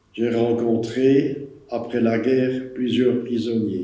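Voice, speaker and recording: A man with medium pitch talks at a very slow pace in monotone, flat intonation. Audible room echo surrounds his voice. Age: 80s+. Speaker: war witness. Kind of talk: testimony.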